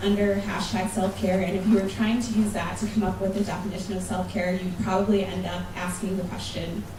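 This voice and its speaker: A woman with an American accent speaks at a moderate pace and medium pitch in a monotone, flat way, with noticeable background noise and audible room echo. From United States. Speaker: conference speaker. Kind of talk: conference talk. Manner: casual, conversational.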